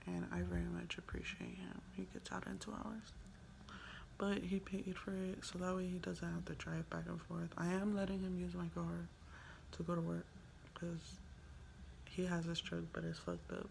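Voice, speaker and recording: With an American accent, a woman speaks at a moderate pace with long, frequent pauses amid audible room echo. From Los Angeles, San Fernando Valley. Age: 20s. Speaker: vlogger. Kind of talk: casual vlog monologue. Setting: hotel room.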